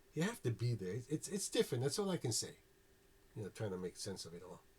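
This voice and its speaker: A man's somewhat breathy voice in a New York accent, with very wide pitch swings. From New York City (South Bronx). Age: 60s. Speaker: former Jehovah's Witness telling his story. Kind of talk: personal testimony. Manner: casual, many fillers and repeats.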